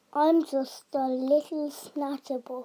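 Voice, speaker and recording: A woman's mumbling put-on character voice, high-pitched, monotone and flat, at a very slow pace. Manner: mournful, mumbling.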